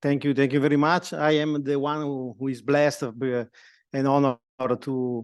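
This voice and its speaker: In an Italian accent, a man speaks at a moderate pace with fairly even intonation. The background is quiet. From Italy. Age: 50s. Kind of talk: talk to students. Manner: halting.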